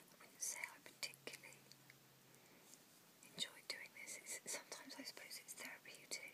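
A woman whispering at a fairly quick pace, broken by long, frequent pauses. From UK. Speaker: ASMR vlogger. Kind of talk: casual ASMR ramble to camera. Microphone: phone near.

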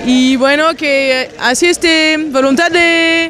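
High-pitched woman's voice in a dry sound with no echo, crowd noise in the background. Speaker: audience member. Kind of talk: interview answer. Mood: relaxed, appreciative. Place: street. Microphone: handheld.

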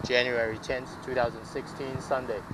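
A man is speaking amid noticeable background noise. The sound is dry, with no echo. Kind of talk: casual vlog chat. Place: waterside. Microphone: phone near.

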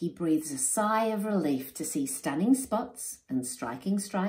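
A natural reading voice. It reads without strain.

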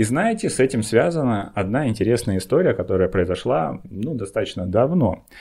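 This man's voice has a dark, mellow tone and lively intonation. He speaks at a moderate pace against a quiet background. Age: 30s. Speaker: satirical IT video blogger doing stand-up. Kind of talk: stand-up comedy monologue, satirical bit with setups and punchlines. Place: home room. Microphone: studio mic.

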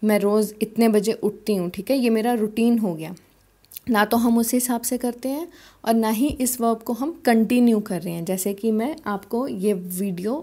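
A woman with a fairly high pitch speaks in a dark, mellow tone at a fairly slow pace. Her pitch varies in an ordinary way, and the recording is very clean with a silent background. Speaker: language teacher. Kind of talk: tutorial.

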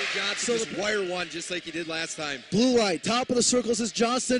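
A man with a high pitch talks at a fairly quick pace with hardly any pauses and lively intonation, the sound dry with no echo despite loud background noise. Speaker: hockey play-by-play announcer. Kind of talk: live commentary. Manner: fast, rapid-fire, excitable; clipped play-by-play delivery with rising energy at goals.

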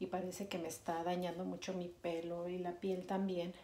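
Over light background noise, someone talks at a fairly slow pace. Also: woman. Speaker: vlogger. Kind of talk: casual vlog talk to camera. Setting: bathroom at home. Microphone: phone near.

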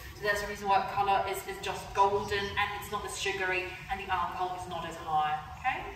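A woman with an English accent talks at a very fast pace in a flat monotone, her loudness swinging widely, with light background noise and audible room echo. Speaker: brewery tour guide. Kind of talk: guided tour. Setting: brewery tour. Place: hall. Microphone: camera far.

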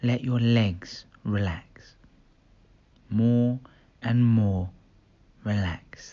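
Soothing and calm in tone, the voice moves at a very slow pace with long, frequent pauses. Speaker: meditation guide. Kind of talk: guided hypnosis meditation. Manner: slow, soothing, repetitive; calm, hypnotic, gentle.

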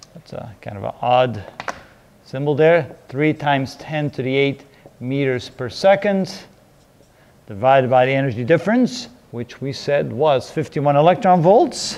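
A man speaks at a fairly slow pace, with big swings in loudness. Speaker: physics teacher. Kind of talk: lecture. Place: classroom. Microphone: lapel.

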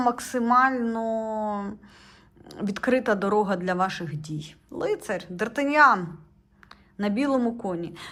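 A woman speaks with lively intonation. Her pitch is fairly high. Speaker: tarot reader and video blogger. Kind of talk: tarot reading tutorial monologue. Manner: conversational, jumps between thoughts.

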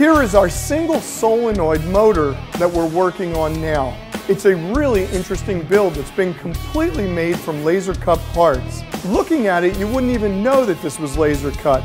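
A man keeps a moderate pace while clear music sounds behind him. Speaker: maker show host. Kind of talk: tutorial. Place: workshop. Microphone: lapel.

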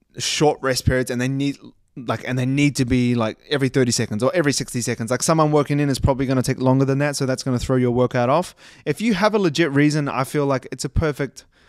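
A man speaks at a very fast pace with ordinary pitch variation. The sound is dry with no echo, and the background is quiet. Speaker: fitness coach. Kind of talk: casual podcast commentary. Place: home room. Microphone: studio mic.

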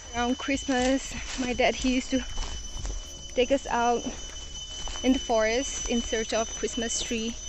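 Speech comes at a moderate pace with noticeable background noise. The sound is dry, with no echo. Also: woman. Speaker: vlogger. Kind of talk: casual vlog chat. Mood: wistful, nostalgic. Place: forest. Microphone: phone near.

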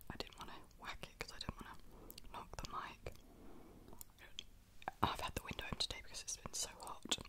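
A woman speaks in a whisper. Her voice is soft-spoken. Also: fairly quick pace. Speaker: vlogger. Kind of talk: casual vlog chat. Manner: soft close-mic whisper. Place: home room. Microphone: studio mic.

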